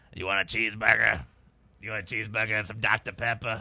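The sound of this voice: A man speaks very fast in a put-on character voice, raspy and fairly low. His intonation stays fairly even.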